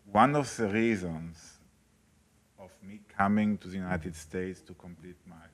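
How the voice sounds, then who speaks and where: Delivery is at a fairly slow pace with fairly even intonation. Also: man. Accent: German. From Italy, German family. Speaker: nonprofit education academic. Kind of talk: presentation at public meeting.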